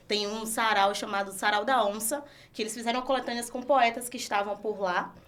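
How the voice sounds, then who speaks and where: With a Bahian accent, this voice moves at a moderate pace and keeps a fairly even intonation. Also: woman, fairly high pitch for a woman. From Brazil, Salvador, Bahia. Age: 20s. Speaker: entrepreneur. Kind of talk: podcast interview.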